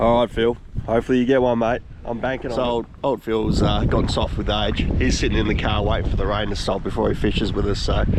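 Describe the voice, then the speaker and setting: A man talks at a very fast pace with very even loudness. Noticeable background noise sits behind him. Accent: Australian. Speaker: fishing vlogger. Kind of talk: casual outdoor vlog chat. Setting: outdoors by a lake in wind and rain.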